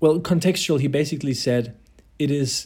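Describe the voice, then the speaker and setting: Somewhat breathy, a man talks at a moderate pace. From Germany. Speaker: podcast co-host. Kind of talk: casual chat.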